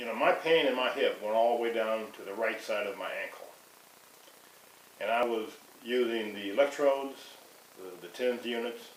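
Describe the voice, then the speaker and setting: A man with ordinary pitch variation, big swings in loudness and long, frequent pauses, amid noticeable background noise and audible room echo. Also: medium pitch for a man, moderate pace. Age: 60s. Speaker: customer giving a product testimonial. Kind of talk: testimony. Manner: halting, with frequent restarts.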